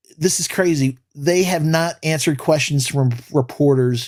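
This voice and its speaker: An animated man with a New York accent, fairly high-pitched with ordinary pitch variation, at a moderate pace. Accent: New York City. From New York City, the Bronx. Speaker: sports podcast co-host. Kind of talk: casual live-stream sports talk.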